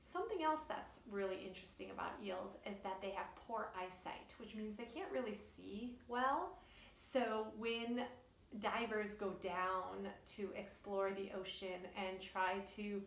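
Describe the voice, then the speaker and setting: Speech comes at a fairly slow pace with audible room echo. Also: woman, ordinary pitch variation. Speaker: children's storyteller. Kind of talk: educational talk to kids. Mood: warm, cheerful. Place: home room. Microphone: phone near.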